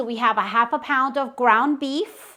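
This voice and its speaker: A woman's high, animated voice at a fairly slow pace with ordinary pitch variation. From Guatemala. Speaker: cooking video host. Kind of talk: cooking tutorial. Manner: chatty and animated.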